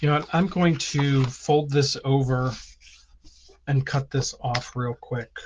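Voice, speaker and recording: Here a man talks very slowly at a fairly high pitch. His voice is somewhat breathy, with fairly even intonation. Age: 60s. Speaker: stamping and card-making teacher. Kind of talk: tutorial; live stream. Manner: casual, with many filler ums.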